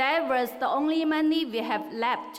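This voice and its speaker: With a high pitch and ordinary pitch variation, a woman speaks at a fairly slow pace. Audible room echo surrounds her voice. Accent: Chinese. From China. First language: Chinese. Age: 30s. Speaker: valedictorian, student. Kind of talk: graduation speech. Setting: stage with large audience.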